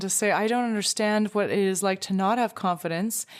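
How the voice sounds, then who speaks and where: Here is an ordinary speaking voice from a woman at a medium pitch and moderate pace. The recording is very clean, with a silent background. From Canada. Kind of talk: podcast conversation.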